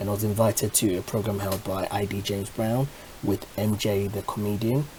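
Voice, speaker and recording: Background noise is noticeable throughout. The delivery keeps a moderate pace. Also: man. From Ghana. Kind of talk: casual talk to camera.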